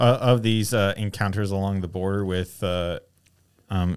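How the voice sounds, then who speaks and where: In a very clean recording with a silent background, a man with a plain, everyday voice talks at a fairly low pitch, moderate pace and ordinary pitch variation. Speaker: podcast co-host. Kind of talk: casual chat. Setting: video podcast.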